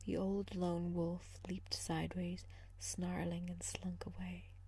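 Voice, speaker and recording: Soft-spoken and gentle in tone, a woman talks at a fairly slow pace. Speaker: ASMR reader. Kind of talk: sleep story, fairy tale reading. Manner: soft-spoken, gentle, relaxing.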